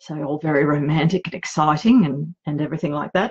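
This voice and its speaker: A woman with an Australian accent and fairly low pitch, in a dry, close sound with no echo. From Australia, outback Queensland. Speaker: romance author. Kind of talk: live vlog chat. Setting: home office livestream. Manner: hesitant, many fillers.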